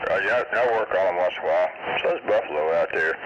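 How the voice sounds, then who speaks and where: A man speaks with an American accent. Noticeable background noise can be heard. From central Oklahoma. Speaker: CB radio operator. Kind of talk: CB radio chat. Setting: CB radio transmission.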